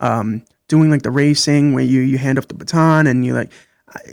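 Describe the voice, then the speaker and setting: There is a normal speaking voice with an American accent at a fairly quick pace. The sound is dry and close, without echo. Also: man. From Brooklyn, New York. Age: 30s. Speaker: podcast guest. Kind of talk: interview.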